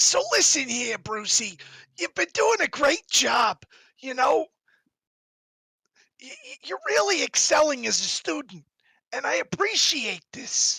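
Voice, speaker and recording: A put-on, raspy character voice in a Boston accent, high-pitched and fairly slow, with long, frequent pauses. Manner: patronizing, friendly.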